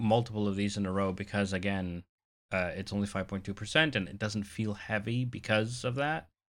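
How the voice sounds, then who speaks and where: A man speaks at a moderate pace with a fairly low pitch and a bright, sharp tone. His loudness swings widely, his pitch varies in an ordinary way, and the recording is very clean with a silent background. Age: 30s. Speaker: podcast co-host. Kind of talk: casual chat.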